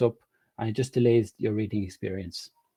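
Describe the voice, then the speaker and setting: A man's somewhat breathy, dark, mellow voice with an Irish accent, at a fairly quick pace, in a very clean recording with a silent background. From Ireland. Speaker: web developer. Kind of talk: presentation talk.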